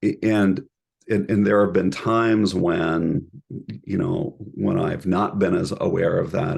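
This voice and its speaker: Vocal fry runs through the speech. It moves at a very slow pace with very wide pitch swings. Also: man. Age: middle-aged. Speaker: professor, couple and family therapy program director. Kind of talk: interview conversation. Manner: halting, many repeated words.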